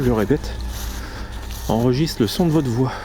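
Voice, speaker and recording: Music plays behind a man talking at a moderate pace. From northern France (Hauts-de-France). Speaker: paranormal explorer YouTuber. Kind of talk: on-location vlog, addressing spirits and viewers. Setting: outdoors in a forest at night.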